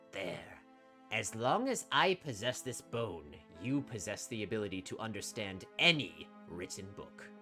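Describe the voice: With clear music in the background, someone puts on a character voice at a low pitch. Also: moderate pace.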